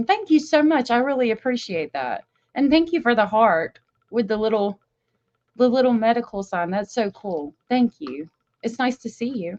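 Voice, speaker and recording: A woman's warm-toned, fairly high voice with very wide pitch swings at a moderate pace, dry and close with no echo. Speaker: true crime livestreamer. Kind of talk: casual livestream talk. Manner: warm, chatty.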